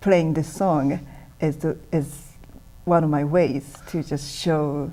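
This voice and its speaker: A woman speaks very slowly in a very deep, low voice with a dark, mellow tone and a Japanese accent. Her intonation stays fairly even, broken by long, frequent pauses. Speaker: musician. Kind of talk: interview.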